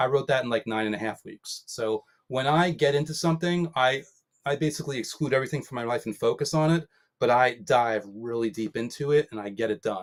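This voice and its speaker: Lively intonation from a man at a medium pitch, fairly quick pace, dry and close with no echo. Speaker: author. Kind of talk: interview. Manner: fast.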